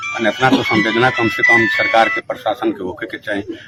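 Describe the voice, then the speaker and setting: Noticeable background noise runs under a man's voice. He speaks at a moderate pace with ordinary pitch variation. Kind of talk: news podcast talk. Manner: earnest, concerned.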